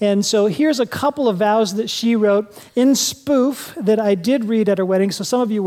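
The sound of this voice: This is an unforced reading voice. Pitch variation is ordinary.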